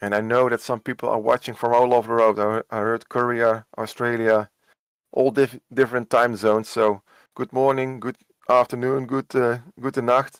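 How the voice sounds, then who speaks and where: A man with a Dutch accent speaks at a medium pitch in a monotone, flat way. The sound is dry and close with no echo. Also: moderate pace. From Netherlands. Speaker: esports cycling commentator. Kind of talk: live commentary. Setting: home work room.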